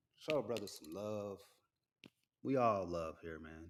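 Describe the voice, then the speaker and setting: The voice is soft-spoken with an American accent. The pace is moderate. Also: man. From US Southwest (Phoenix). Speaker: military veteran and sports media business owner. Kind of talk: casual solo livestream chat. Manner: rambling casual.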